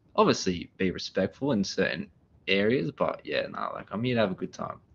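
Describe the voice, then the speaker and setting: Speaking at a moderate pace, a man talks with an Australian accent. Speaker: renovation business owner. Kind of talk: podcast interview. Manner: loud; energetic.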